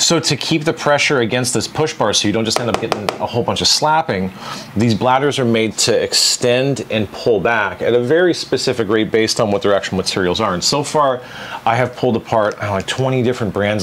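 This man speaks at a fairly quick pace with ordinary pitch variation and very even loudness. Light background noise is present. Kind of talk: tutorial. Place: workshop.

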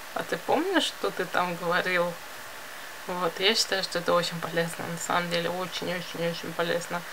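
A woman at a fairly low pitch and moderate pace, monotone and flat, with noticeable background noise. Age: 20s. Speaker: video blogger and illustrator; vlogger. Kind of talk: casual vlog monologue; casual vlog chat. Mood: reflective, confiding. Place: home room. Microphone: phone near.

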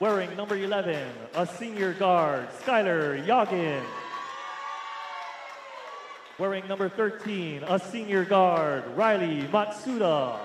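A man speaks in a high pitch at a very slow pace with ordinary pitch variation and long, frequent pauses over noticeable background noise. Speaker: public address announcer. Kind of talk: starting lineup announcements. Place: hall.

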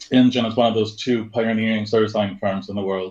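This man speaks in a Swedish accent. The background is quiet. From Sweden. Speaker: service design director; interview guest. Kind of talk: interview. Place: home room.

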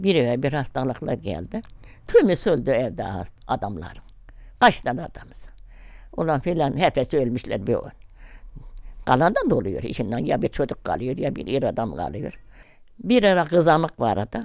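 A woman with a very deep, low pitch and vocal fry speaks at a moderate pace. Her pitch swings very widely, and she leaves long, frequent pauses. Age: 80s+. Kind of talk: interview answer.

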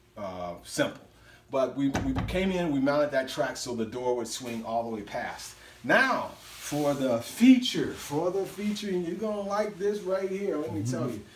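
At a moderate pace, a man speaks in a room with audible echo and light background noise. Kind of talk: casual tour commentary. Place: home room. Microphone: phone near.

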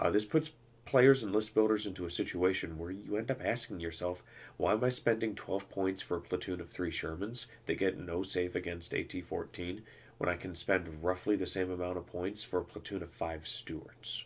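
The voice is somewhat breathy, with ordinary pitch variation and a moderate pace. The recording is very clean, with a silent background. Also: man, very deep, low pitch for a man. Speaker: gaming podcast host. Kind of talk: solo podcast monologue. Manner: stutter; animated.

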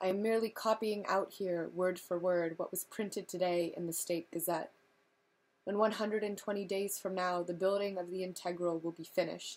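A woman with an American accent speaks at a moderate pace in a monotone, flat intonation. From California. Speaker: reader. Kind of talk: audiobook reading of a novel, read-along to camera. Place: home room. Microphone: webcam.

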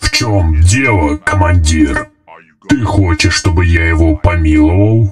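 A man uses a put-on character voice at a very deep, low pitch, speaking at a moderate pace with very even loudness while faint music plays in the background. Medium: fan dub. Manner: pompous, then clumsily defensive.

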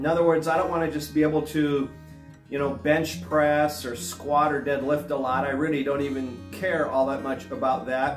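With clear music behind him and audible room echo, a man talks in a fairly high pitch. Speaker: fitness vlogger. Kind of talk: casual talk to camera, instructional fitness advice. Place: home room.

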